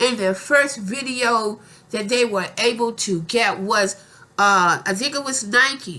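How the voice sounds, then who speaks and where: Lively intonation colors this woman's speech. She talks at a very slow pace. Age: 60s. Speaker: YouTuber. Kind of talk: casual vlog monologue. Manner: repetitive, halting.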